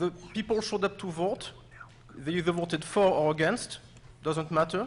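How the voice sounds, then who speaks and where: With a non-native accent, a man speaks at a high pitch with ordinary pitch variation. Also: moderate pace. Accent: foreign. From another country. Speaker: resident speaking at public comment. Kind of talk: public comment at town meeting. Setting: high school auditorium, public meeting.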